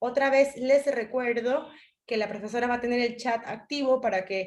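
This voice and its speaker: Speaking at a moderate pace in a Spanish accent, a woman uses a high pitch with ordinary pitch variation. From Spain. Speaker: webinar moderator. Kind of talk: event introduction.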